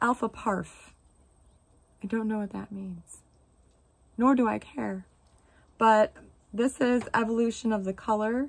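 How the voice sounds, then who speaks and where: On a very clean recording with a silent background, a woman speaks in a somewhat breathy voice with fairly even intonation. Her pace is fairly slow, with long, frequent pauses. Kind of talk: casual talk to camera. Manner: casual, sarcastic.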